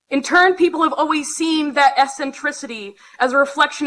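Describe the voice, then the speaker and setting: A woman talks in a raised, projected voice with a bright, sharp tone. Her pace is moderate. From Alberta, western Canada. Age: 20s. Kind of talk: conference talk with humor. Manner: loud.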